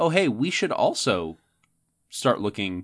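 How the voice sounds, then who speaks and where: Against a quiet background, a man at medium pitch talks at a fairly slow pace. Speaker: science podcast co-host. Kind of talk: casual educational chat. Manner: hesitant, frequent fillers and restarts.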